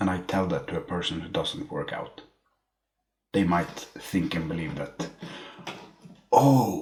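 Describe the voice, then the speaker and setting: With a non-native accent, a man talks at a fairly slow pace, leaving long, frequent pauses. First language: not English. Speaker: book reviewer. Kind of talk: casual monologue. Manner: halting.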